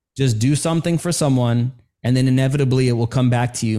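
With an American accent, a man at a medium pitch and a dark, mellow tone speaks at a fairly quick pace, keeping his intonation fairly even. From New York City. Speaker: storytelling coach for coaches, military veteran. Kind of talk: podcast interview.

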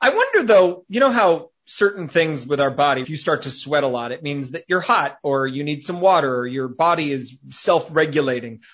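With hardly any pauses, a man talks at a moderate pace in a fairly high pitch, with ordinary pitch variation and an unremarkable speaking voice. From outside US, where cookies are called biscuits. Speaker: comedian and writer. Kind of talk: casual chat.

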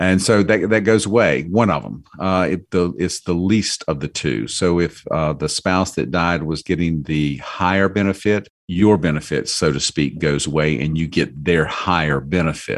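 A man talks at a very deep, low pitch with vocal fry. The background is quiet. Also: ordinary pitch variation, moderate pace, hardly any pauses. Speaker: financial coach. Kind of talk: casual chat.

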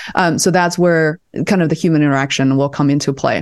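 A woman with a Chinese accent, talking at a fairly quick pace. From China, Beijing. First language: Mandarin Chinese. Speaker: video producer and content strategist. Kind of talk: casual interview chat. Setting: video call.

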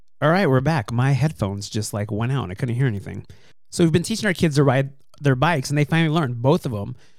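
A man speaks at a very fast pace with lively intonation. His pitch sits at a medium level. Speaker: podcast host. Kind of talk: casual chat.

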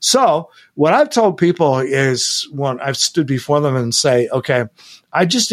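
A man's fairly high, normal speaking voice at a moderate pace, in a very clean recording with a silent background. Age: 60s. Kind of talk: interview.

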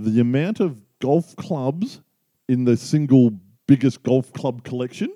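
A man with an Australian accent speaks fairly slowly at a medium pitch, his dark, mellow tone showing ordinary pitch variation in a dry, close sound with no echo. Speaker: podcast co-host, amateur golfer. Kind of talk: casual chat.

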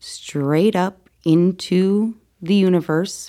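On a very clean recording with a silent background, a woman's fairly low voice has a dark, mellow tone and fairly even intonation. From Connecticut. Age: 30s. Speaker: near-death experiencer. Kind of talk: testimony.

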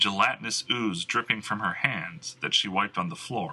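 In an unforced reading voice, the speaker reads with lively intonation.

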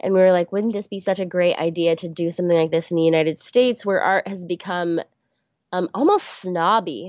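A woman's fairly low-pitched voice at a fairly quick pace, with fairly even intonation. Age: 20s. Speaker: artist and small business owner. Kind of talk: interview. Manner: hesitant, many filler words.

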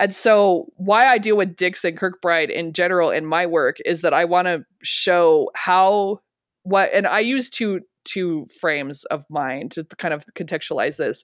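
A woman with an American accent speaks at a fairly slow pace, medium pitch and ordinary pitch variation, in a plain, everyday voice. The background is quiet. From rural Colorado. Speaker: history instructor and public historian. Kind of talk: interview.

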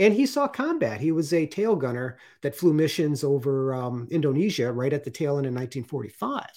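A man with a normal speaking voice talks at a fairly high pitch and a fairly quick pace with ordinary pitch variation, hardly any pauses, and a very clean recording over a silent background. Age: 50s. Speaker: artist and retired Coast Guard veteran. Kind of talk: interview.

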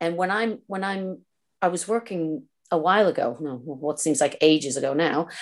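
Against a quiet background, a woman with a fairly low pitch speaks at a moderate pace with ordinary pitch variation. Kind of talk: interview. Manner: halting.

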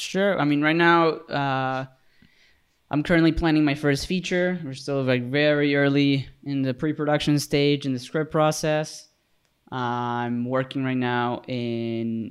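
A man with a normal speaking voice, fairly high-pitched and fairly slow, with fairly even intonation over a quiet background. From Mexico, raised partly in Canada. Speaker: cinematographer and director. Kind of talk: casual chat. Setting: video call.

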